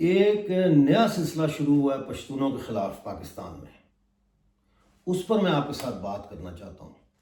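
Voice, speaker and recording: This man's fairly high voice shows very wide pitch swings and big swings in loudness. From Mirpur, Pakistan-administered Kashmir. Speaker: human rights activist and YouTuber. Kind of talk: political commentary to camera. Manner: impassioned.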